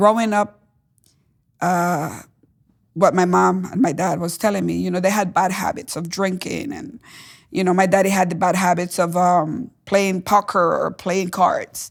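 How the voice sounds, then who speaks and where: With a Spanish accent and vocal fry, a woman with a medium pitch speaks at a fairly slow pace. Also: ordinary pitch variation. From Caribbean island, Spanish-speaking. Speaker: testimony guest. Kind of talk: testimony interview. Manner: halting, frequent fillers.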